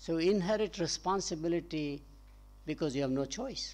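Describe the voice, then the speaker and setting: With a Gujarati accent, a man speaks at a moderate pace against a quiet background. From India, Gujarat. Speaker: professor. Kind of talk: panel discussion.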